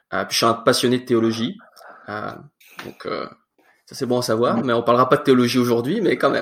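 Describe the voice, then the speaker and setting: A man talks at a fairly quick pace and a medium pitch, his intonation fairly even. His loudness swings widely, and he leaves long, frequent pauses. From France, in Quebec since about age 9. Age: 20s. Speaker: church youth leader and student. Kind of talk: casual interview.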